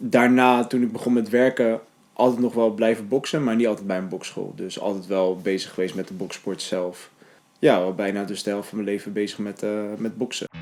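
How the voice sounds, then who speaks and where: Delivered at a fairly quick pace, the man's speech has fairly even intonation. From Netherlands, Hellevoetsluis (Rotterdam region). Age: 20s. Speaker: documentary interviewee. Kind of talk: documentary interview. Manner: hesitant, many filler sounds.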